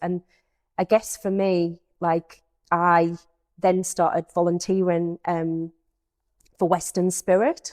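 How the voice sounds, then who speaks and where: A woman speaks with a North East England accent. Her voice is fairly low, with monotone, flat intonation. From North East England, Peterlee, County Durham. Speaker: youth engagement manager. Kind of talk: podcast interview.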